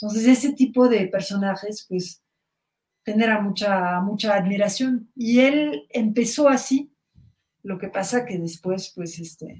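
In a French accent, a woman speaks at a fairly slow pace with medium pitch and a somewhat breathy quality. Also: ordinary pitch variation, big swings in loudness. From Belgium, Brussels. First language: French (speaking Spanish). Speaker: journalist and author. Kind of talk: interview.

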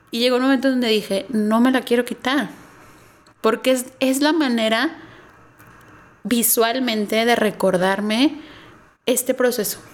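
Her loudness very even, a woman with a high pitch speaks with ordinary pitch variation and long, frequent pauses. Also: fairly slow pace. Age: 30s. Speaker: marketing professional, cancer survivor. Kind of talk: testimony.

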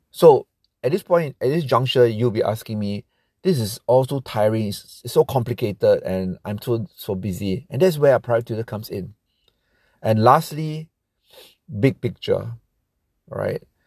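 A man with lively intonation and a somewhat breathy voice, long, frequent pauses, dry, close sound with no echo, and a very clean recording with a silent background. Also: medium pitch for a man, moderate pace. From Singapore. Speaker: private tutor. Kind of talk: advice monologue.

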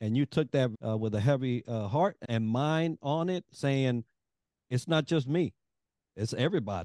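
A man at medium pitch with a dark, mellow tone and lively intonation, moderate pace, dry, close sound with no echo, quiet background. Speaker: podcast co-host. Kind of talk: interview.

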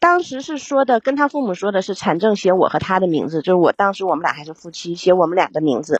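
Lively intonation and a fairly quick pace mark an unremarkable speaking voice. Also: woman. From Yingkou, Liaoning, China. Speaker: caller. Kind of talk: personal problem talk. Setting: live stream call.

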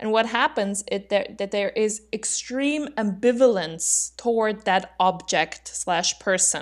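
A woman with a fairly high pitch speaks at a very slow pace with ordinary pitch variation. She leaves hardly any pauses. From Austria. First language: German. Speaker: podcast co-host. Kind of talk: casual educational discussion. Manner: laughs often.

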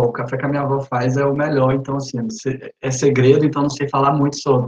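The man's voice is somewhat breathy and fairly high in pitch. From Brazil, interior of Tocantins. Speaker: student program ambassador. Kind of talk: casual group video chat. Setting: video call.

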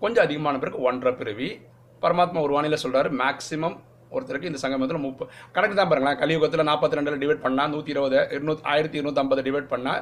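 Here a man with a fairly high pitch and ordinary pitch variation has an ordinary speaking voice. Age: 40s. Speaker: spiritual teacher. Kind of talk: religious teaching talk. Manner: casual, conversational.

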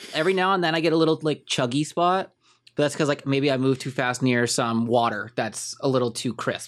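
Speaking at a fairly quick pace, a man uses an unremarkable speaking voice at medium pitch with ordinary pitch variation. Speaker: gaming podcast co-host. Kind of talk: casual chat.

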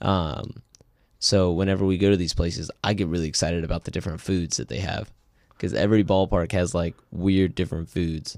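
On a very clean recording with a silent background, a man with an American accent speaks in a very deep, low voice with fairly even intonation. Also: fairly quick pace. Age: 20s. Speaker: podcast co-host. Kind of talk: casual chat.

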